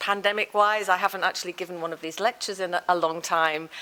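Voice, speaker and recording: At a fairly quick pace, a woman talks in a fairly low pitch with a bright, sharp tone and ordinary pitch variation. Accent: Liverpool. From northern England, Liverpool. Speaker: professor. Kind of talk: lecture.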